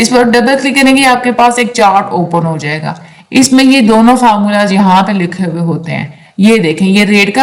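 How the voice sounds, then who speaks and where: A woman's medium-pitched voice at a fairly slow pace, with noticeable background noise and audible room echo. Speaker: online tutor. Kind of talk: lecture. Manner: casual explanatory.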